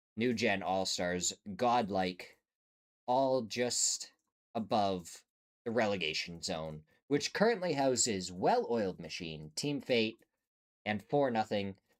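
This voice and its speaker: A man speaks at a very slow pace with long, frequent pauses. His fairly low voice carries lively intonation. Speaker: esports caster. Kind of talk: live commentary. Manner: casual, hesitant fillers.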